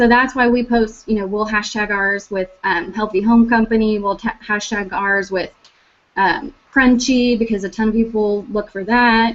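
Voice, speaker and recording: In a normal speaking voice, a woman talks at a moderate pace, fairly high in pitch with fairly even intonation. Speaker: team leader giving social media tips. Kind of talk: online team meeting talk. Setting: video call.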